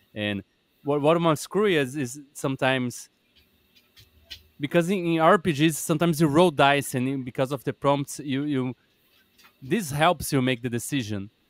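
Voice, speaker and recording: A man's fairly high voice over background music, with long, frequent pauses and a dry, close sound free of echo. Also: ordinary pitch variation, moderate pace. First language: not English. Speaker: podcast host. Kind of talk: podcast interview. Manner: halting.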